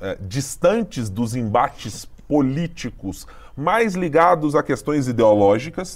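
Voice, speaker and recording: A man has an unremarkable speaking voice. His intonation is lively. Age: middle-aged. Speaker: podcast host, political journalist. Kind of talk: political analysis chat.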